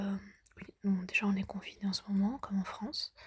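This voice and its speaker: A woman whispers. Her pace is moderate. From lives in a country abroad, not France. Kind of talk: ASMR pillow talk to camera. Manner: soft-spoken, casual, chatty.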